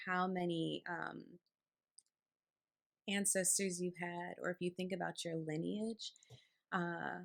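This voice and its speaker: A soft-spoken woman is talking. Her pace is very slow. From New York. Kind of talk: casual talk to camera.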